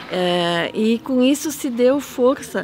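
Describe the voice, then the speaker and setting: A woman's high voice comes through with obvious noise in the background. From German-descended community, Rio Grande do Sul. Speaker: folklore festival interviewee. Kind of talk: documentary interview. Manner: hesitant, many fillers.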